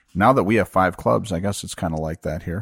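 Recorded very cleanly against a silent background, with a dry, close sound and no echo, a man with an Upper Midwest accent speaks at a fairly quick pace with ordinary pitch variation. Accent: Upper Midwest American. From Minnesota. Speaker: podcast host. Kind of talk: casual interview. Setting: home basement bar.

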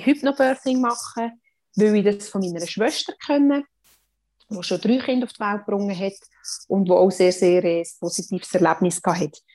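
A woman speaks with a Swiss accent at a moderate pace and medium pitch. Her pitch varies in an ordinary way against a quiet background. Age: 30s. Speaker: mother sharing birth story, mental trainer. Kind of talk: testimony.

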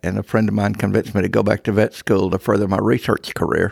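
A man at a very fast pace with vocal fry and a fairly low pitch, in a dry, close sound with no echo. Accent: American. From Texas Panhandle. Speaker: church elder. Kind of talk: interview testimony.

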